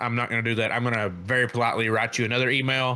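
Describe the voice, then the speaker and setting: A man talks with his pitch sitting in the medium range. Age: 30s. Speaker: podcast co-host. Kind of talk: casual chat. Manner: loud; animated.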